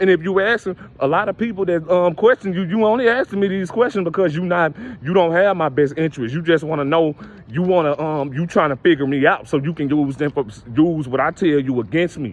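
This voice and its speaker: A man's high-pitched voice with lively intonation and a fairly quick pace, over noticeable background noise. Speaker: spiritual motivational speaker. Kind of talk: motivational monologue. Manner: halting.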